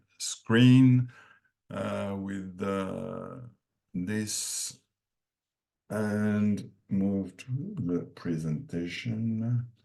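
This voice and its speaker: A man speaks at a very slow pace with a fairly low pitch, ordinary pitch variation, big swings in loudness, and long, frequent pauses. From France. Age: 60s. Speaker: dairy nutrition consultant. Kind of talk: lecture. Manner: halting.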